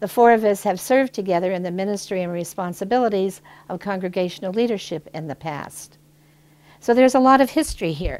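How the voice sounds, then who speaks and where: A woman with an American accent talks at a very fast pace in a medium pitch, her intonation lively and her loudness swinging widely. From northwestern Pennsylvania. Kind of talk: reflective video introduction.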